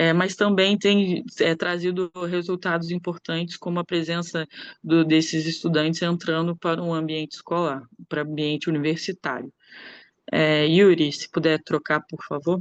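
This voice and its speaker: A woman's monotone, flat delivery at a fairly low pitch and moderate pace, with a quiet background and a dry, close sound with no echo. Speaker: anthropologist and researcher. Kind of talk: academic conference talk. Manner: hesitant, many filler sounds.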